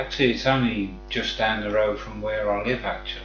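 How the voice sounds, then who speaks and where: Noticeable background noise and audible room echo surround speech at a moderate pace. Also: man. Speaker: gamer streamer. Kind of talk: casual live stream chat. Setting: live stream at home.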